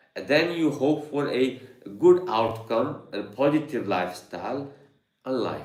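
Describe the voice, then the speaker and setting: A man of medium pitch talks at a moderate pace with lively intonation and vocal fry, and audible room echo is present. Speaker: yoga and meditation teacher. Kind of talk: live online Q&A talk. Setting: studio with Zoom and YouTube live stream. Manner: halting, many fillers.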